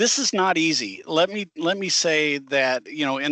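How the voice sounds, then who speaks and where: In an Arkansas accent, a man speaks with a bright, sharp tone and ordinary pitch variation. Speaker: driver trainer. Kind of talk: webinar presentation.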